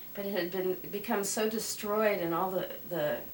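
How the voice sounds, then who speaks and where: There is noticeable background noise. A woman talks at a medium pitch. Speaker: crystal skull keeper. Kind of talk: interview answer.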